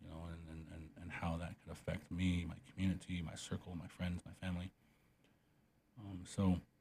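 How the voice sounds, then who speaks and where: A man's very deep, low voice, dark, mellow and somewhat breathy, stays monotone and flat while its loudness swings a lot. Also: moderate pace. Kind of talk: interview conversation. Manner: halting, many fillers.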